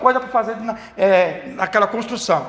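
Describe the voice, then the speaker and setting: Noticeable noise fills the background. The delivery keeps a moderate pace. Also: man. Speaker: Sunday school teacher trainer. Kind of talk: lecture. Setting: church. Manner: halting.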